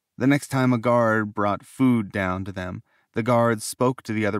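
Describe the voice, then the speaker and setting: In a plain, everyday voice, a man speaks at a moderate pace with fairly low pitch and ordinary pitch variation, the sound dry and close with no echo. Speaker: audiobook narrator. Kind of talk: audiobook narration.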